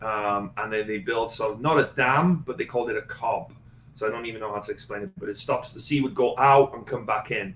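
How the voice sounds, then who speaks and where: A man talks at a fairly quick pace. He has a Welsh accent. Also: medium pitch for a man, ordinary pitch variation. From Wales, Gwynedd (Tremadog). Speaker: former wrestler and performer, real estate investor. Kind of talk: casual interview chat.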